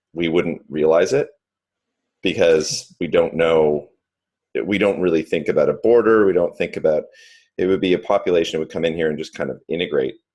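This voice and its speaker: Delivered in a Canadian accent, the speech moves at a moderate pace. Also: man. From Canada. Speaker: video session participant. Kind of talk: group video discussion.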